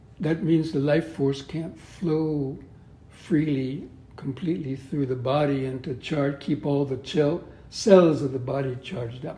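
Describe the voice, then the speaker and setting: In an American accent, a man with a fairly high pitch speaks very slowly, his tone dark and mellow and somewhat breathy. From US West (Southern California). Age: 70s. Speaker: Buddhist monk and yoga teacher. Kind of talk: interview. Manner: halting.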